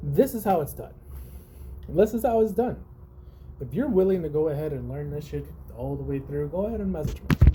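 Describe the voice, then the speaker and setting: Amid noticeable background noise, the speaker has an animated tone and a fairly quick pace broken by long, frequent pauses. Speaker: trading vlogger. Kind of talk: casual talk to camera. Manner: loud.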